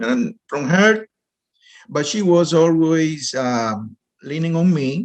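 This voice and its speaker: Speaking in a Spanish accent, a man uses a fairly high pitch. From Dominican Republic. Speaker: real estate investor. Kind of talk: interview. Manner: halting.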